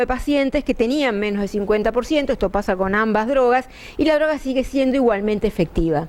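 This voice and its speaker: A high-pitched woman talks at a very fast pace with ordinary pitch variation. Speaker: pulmonologist. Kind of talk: medical lecture. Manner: conversational, with filler hesitations.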